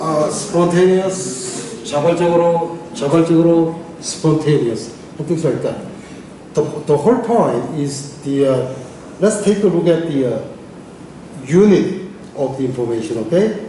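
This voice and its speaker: With a Korean accent, a man talks at a fairly slow pace in a high pitch with ordinary variation, leaving long, frequent pauses amid audible room echo and noticeable background noise. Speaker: English teacher. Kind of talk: lecture. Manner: halting, many fillers.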